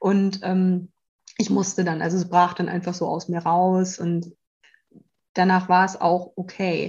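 A woman's somewhat breathy, medium-pitched voice in a monotone, flat intonation at a very slow pace, with long, frequent pauses. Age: 30s. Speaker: life coach in transition to self-employment. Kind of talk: casual interview chat. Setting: in person, sitting across from host.

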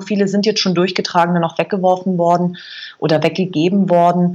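A woman's ordinary speaking voice at medium pitch and a moderate pace. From Bavaria, Berchtesgaden. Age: 40s. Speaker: food blogger and filmmaker. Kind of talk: interview.

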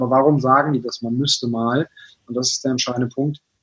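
A man with a plain, everyday voice speaks fairly quickly at a fairly high pitch, his intonation fairly even. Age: 20s. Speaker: business consultant and author. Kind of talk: interview. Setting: video call.

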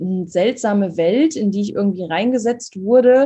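At a moderate pace, this dark, mellow voice sounds somewhat breathy and shows ordinary pitch variation. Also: woman. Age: 20s. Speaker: holistic coach and fitness trainer. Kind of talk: podcast interview.

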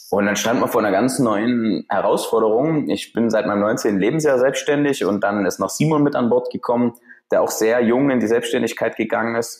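At a moderate pace, a man with an unremarkable speaking voice talks at a medium pitch with ordinary pitch variation and very even loudness. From Saxony, Germany (Freiberg). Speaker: business founder coach. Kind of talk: podcast interview.

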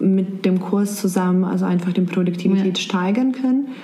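A woman speaks at a moderate pace with fairly even intonation. There is noticeable background noise and audible room echo. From Serbia. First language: Serbian (speaking German). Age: 20s. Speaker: blogger and office worker. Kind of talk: interview. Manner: halting.

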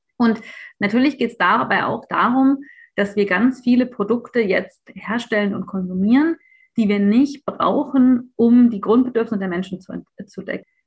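A woman's fairly high, somewhat breathy voice at a moderate pace, with ordinary pitch variation. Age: 30s. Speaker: think tank founder and economist activist. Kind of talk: podcast interview.

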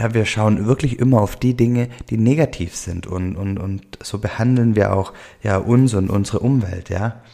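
A man with a dark, mellow tone and fairly low pitch talks at a moderate pace, his intonation fairly even. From Swabia, southwestern Germany. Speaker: podcast host, life coach. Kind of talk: solo podcast monologue. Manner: many fillers and hesitations.

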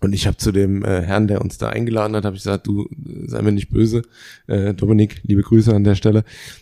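Very fast and with fairly even intonation, a man's fairly low, dark and mellow voice comes through with a dry, close sound and no echo. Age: 30s. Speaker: podcast co-host. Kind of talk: casual chat.

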